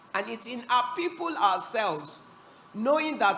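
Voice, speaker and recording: A woman speaks in an animated tone at a moderate pace, her pitch swinging very widely. Room echo is audible, and background noise is noticeable. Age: 60s. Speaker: business executive and panelist. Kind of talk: panel discussion.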